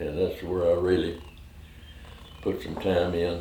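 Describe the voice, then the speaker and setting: In an American accent, a man speaks with a very deep, low pitch and monotone, flat intonation, with audible room echo. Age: 90s. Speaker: war veteran. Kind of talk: oral history interview. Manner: halting.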